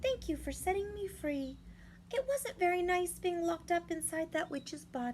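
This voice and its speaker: A woman uses a squeaky, put-on character voice at an extremely high pitch, warm and gentle in tone. She keeps a moderate pace over clear background noise. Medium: read story. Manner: warm, gentle.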